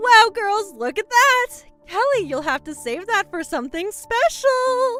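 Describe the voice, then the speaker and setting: Faint music plays behind a put-on character voice, female-sounding and extremely high in pitch, moving at a fairly slow pace. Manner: warm, smiling.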